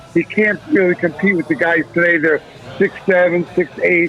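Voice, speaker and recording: Music plays in the background as a man talks at a moderate pace, his pitch varying in an ordinary way. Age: 60s. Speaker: boxing figure. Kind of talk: casual chat.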